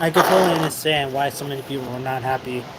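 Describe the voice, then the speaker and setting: Against noticeable background noise, a man talks with a fairly high pitch. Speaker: livestreamer. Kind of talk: casual chat. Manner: halting.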